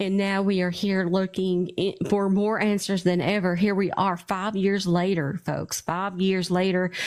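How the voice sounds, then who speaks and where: Over a silent background in a very clean recording, a woman speaks fairly slowly at a medium pitch, her intonation flat and monotone and her loudness very even. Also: hardly any pauses. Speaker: true crime podcast host. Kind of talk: live stream interview. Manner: stuttering.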